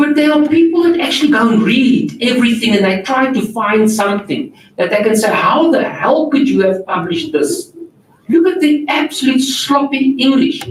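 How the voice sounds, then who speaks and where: Someone with a non-native accent speaks at a moderate pace against noticeable background noise. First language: not English. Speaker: journal editor and workshop presenter. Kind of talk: workshop Q&A answer. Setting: auditorium, live-streamed.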